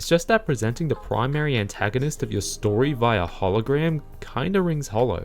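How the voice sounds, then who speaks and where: A man at medium pitch, a fairly quick pace and lively intonation, with hardly any pauses and music in the background. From Australia. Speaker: video essayist. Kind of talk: scripted narration.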